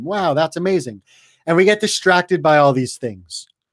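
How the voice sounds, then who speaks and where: Loud and at a fairly quick pace, a man with a Canadian accent speaks in a fairly high pitch. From Canada. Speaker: online business coach. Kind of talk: webinar training. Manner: animated and loud.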